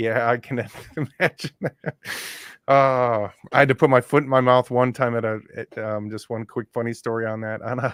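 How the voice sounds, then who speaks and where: Recorded with a dry, close sound and no echo, a man with an American accent talks at a moderate pace in a medium pitch, his loudness swinging widely. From Cleveland, Ohio. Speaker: podcast host, data analytics consultant. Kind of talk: interview. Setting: online live stream.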